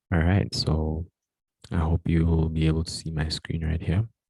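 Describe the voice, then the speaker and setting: Soft-spoken and somewhat breathy, a man speaks with a very deep, low pitch and a dark, mellow tone. His intonation stays fairly even, and the sound is dry and close with no echo. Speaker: tutor. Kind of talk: tutorial.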